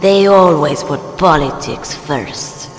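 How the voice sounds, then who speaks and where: A man puts on a high-pitched character voice at a very slow pace. Slight echo and clear background noise are present. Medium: machinima. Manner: cool, terse.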